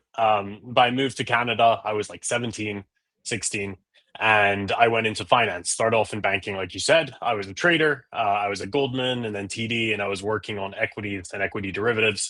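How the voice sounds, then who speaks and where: Over a quiet background, a man with an English accent speaks at a fairly low pitch in a bright, sharp tone, his loudness swinging widely. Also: fairly even intonation, fairly quick pace. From England. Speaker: tech startup founder. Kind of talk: casual interview. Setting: live stream.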